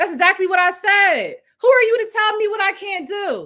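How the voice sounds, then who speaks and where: Shouting in a raised, projected voice, a woman sounds animated, her tone bright and sharp. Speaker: housing program founder and business coach. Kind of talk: live-stream business training. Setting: livestream, different setup. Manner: loud, yelling with passion.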